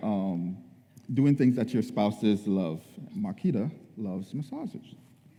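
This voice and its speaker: A man's dark, mellow tone, with lively intonation at a fairly slow pace. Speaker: church leader sharing marriage tips. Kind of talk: church talk on marriage. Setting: church.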